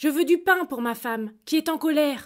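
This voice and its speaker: A woman does a high-pitched, put-on character voice at a moderate pace. The recording is very clean, with a silent background. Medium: read story. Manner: meek, humble.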